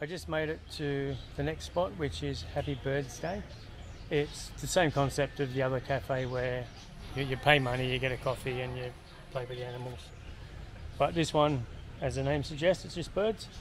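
Amid noticeable background noise, a man speaks at a moderate pace with ordinary pitch variation and long, frequent pauses. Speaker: travel vlogger. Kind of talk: casual vlog chat. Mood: relaxed and upbeat. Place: street. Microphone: phone near.

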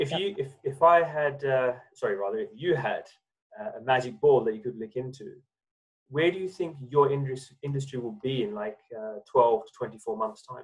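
A man speaks at a moderate pace in a fairly high pitch, somewhat breathy and with lively intonation. The background is quiet. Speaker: interview host. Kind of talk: interview. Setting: video call. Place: home room. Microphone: video call.

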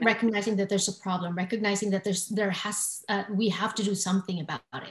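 A woman talks at a very fast pace against a quiet background, with audible room echo. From Filipino heritage. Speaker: talk show host. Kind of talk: interview. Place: home room. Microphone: webcam.

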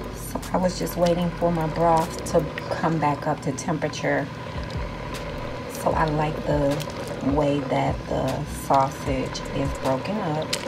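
A woman speaks at a very slow pace. Loud background noise is heard behind her. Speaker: home cook vlogger. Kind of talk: cooking tutorial chat. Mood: excited, enthusiastic. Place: kitchen. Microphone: phone near.

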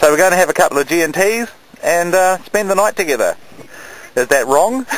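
At a moderate pace, a high-pitched man speaks with lively intonation in a dry sound with no echo. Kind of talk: casual vlog chat. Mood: cheerful, jokey. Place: boat. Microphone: phone near.

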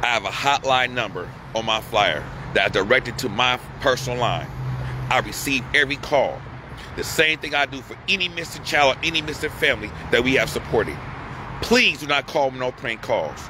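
With noticeable background noise, a man talks at a fairly quick pace in a dry sound with no echo. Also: ordinary pitch variation. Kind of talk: urgent appeal to viewers. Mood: distressed, angry, pleading. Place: street. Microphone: phone near.

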